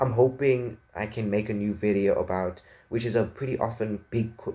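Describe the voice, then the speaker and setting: Monotone, flat intonation from a man with a fairly low voice. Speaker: tech reviewer. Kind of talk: product review. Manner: fast; halting.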